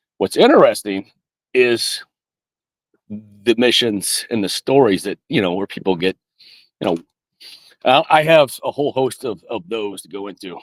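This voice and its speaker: In a dry, close recording with no echo, a man with an American accent talks with lively intonation. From US South. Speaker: army veteran. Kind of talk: interview. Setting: video call from home studio. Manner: fast; halting.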